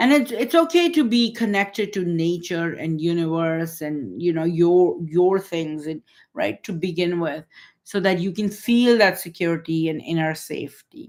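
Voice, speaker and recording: A woman's unremarkable speaking voice, fairly low in pitch with ordinary pitch variation, at a moderate pace in a very clean recording with a silent background. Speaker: holistic healing coach. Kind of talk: live-stream talk. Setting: livestream.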